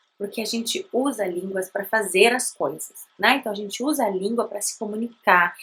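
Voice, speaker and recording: With a Brazilian accent, a woman speaks in a medium-pitched voice that has a bright, sharp tone and lively intonation. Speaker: language teacher, bilingual parenting educator. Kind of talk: educational talk to camera. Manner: conversational.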